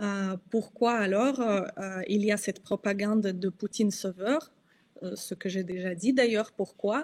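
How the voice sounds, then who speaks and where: A woman speaks with a Russian accent at a medium pitch and a fairly slow pace. Her pitch varies in an ordinary way, and the recording is very clean with a silent background. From Russia, Kostroma. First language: Russian (speaking French). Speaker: journalist and activist. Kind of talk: interview. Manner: halting, many hesitations.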